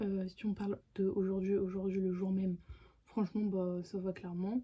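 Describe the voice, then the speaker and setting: A woman's voice, somewhat breathy with a dark, mellow tone, unfolds at a fairly slow pace. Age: 20s. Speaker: YouTuber. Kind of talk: casual vlog Q&A. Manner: hesitant, many fillers.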